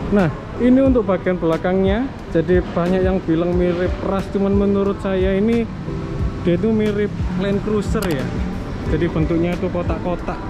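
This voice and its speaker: Music sits in the background. A man talks at a moderate pace. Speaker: presenter. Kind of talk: casual car review walkaround. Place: street. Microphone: phone near.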